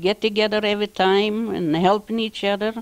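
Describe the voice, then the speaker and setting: A woman with a Lithuanian accent speaks at a fairly slow pace, her pitch fairly high and its variation ordinary. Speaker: postwar immigrant. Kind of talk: interview. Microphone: handheld.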